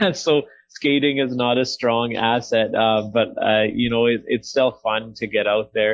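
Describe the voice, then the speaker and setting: A man with a plain, everyday voice speaks at medium pitch and a fairly slow pace, with very even loudness and fairly even intonation. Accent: Canadian. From Canada (small-town Alberta). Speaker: hockey play-by-play announcer. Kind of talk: podcast interview answer.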